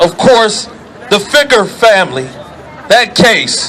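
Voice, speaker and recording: Against noticeable background noise, a man projects a raised voice at an extremely high pitch. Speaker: activist speaker. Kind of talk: protest rally speech. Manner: loud.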